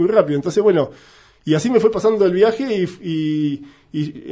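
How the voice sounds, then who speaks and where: The tone is dark and mellow. The delivery is fairly slow, with ordinary pitch variation. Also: man. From Argentina. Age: 50s. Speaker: cyclist and event venue owner. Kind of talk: interview.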